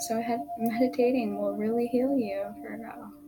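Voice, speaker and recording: Soft-spoken and calm, a woman talks at a moderate pace with music in the background. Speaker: tarot reader. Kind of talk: tarot reading. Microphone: poor sound quality.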